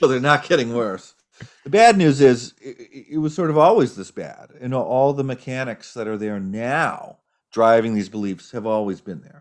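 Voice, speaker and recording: A man with an American accent speaks at medium pitch and a moderate pace, with lively intonation and big swings in loudness in an unremarkable speaking voice. The recording is very clean, with a silent background. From United States. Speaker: political scientist. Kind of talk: interview.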